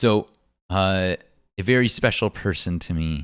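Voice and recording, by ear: A man speaks at a fairly slow pace in a low pitch, his tone clear, smooth and fairly bright, on a very clean recording with a silent background.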